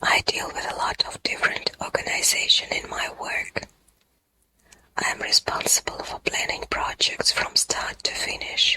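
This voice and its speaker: Everything is whispered. The delivery moves at a fairly slow pace. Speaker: ASMR English-learning voiceover reader. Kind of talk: whispered educational ASMR reading of business English vocabulary.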